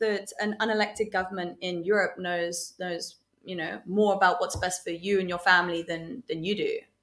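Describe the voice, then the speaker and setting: With a British accent, a woman talks at a moderate pace. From England. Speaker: podcast guest. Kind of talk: casual chat. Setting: at home.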